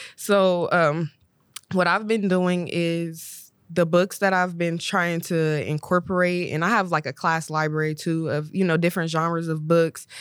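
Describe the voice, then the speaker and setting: Fairly slow and monotone, a woman with an American accent speaks at a fairly low pitch with flat intonation in a very clean recording with a silent background. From Ohio, Columbus. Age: 20s. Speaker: high school English teacher. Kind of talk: casual chat.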